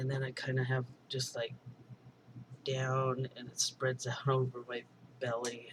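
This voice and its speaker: Speaking at a fairly slow pace with long, frequent pauses, a man uses a medium pitch and a monotone, flat delivery that is somewhat breathy. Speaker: video blogger. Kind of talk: personal video diary. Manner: slower, more monotone when trying; halting, many fillers.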